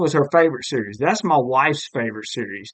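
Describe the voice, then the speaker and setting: A man with a Southern US accent talks at an unhurried yet unslowed, moderate speed. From US South, Alabama (Mobile). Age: 40s. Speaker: podcast host. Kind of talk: casual chat.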